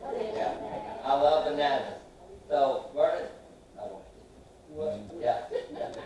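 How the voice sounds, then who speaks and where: A man's voice carries strong room echo. Light background noise sits underneath. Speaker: pastor. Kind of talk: sermon. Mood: playful, light. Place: church.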